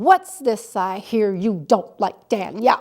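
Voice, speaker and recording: Putting on a gruff character voice, a woman speaks at a fairly high pitch and a fairly slow pace. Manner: angry, stern.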